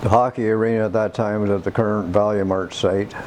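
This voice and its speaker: Noticeable background noise sits under a man with a Canadian accent. He speaks at a moderate pace with monotone, flat intonation. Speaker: senior sharing local memories. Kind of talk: oral history interview.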